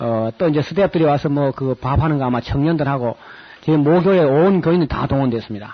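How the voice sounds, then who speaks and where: A man with a strong Gyeongsang accent speaks at a fairly high pitch. His pitch varies in an ordinary way. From South Korea, Gyeongsang region. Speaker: pastor and Bible lecturer. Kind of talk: Bible lecture with announcements. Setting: lecture hall with audience, recorded on tape. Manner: casual, hesitant with fillers.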